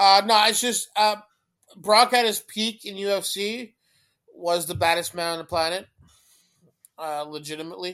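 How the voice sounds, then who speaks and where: A man talks in a raised, projected voice that is high for a man, with a bright, sharp tone, ordinary pitch variation and long, frequent pauses. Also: moderate pace. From Canada. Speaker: podcast co-host. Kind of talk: casual chat. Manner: repeats words, stammers at times.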